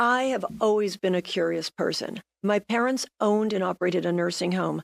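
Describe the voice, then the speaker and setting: A woman talks at a fairly quick pace in a normal speaking voice, her pitch medium with ordinary variation. Her loudness stays very even, and the sound is dry and close with no echo. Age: 60s. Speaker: real estate agent and senior ballroom dancer. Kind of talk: TV interview. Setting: TV studio.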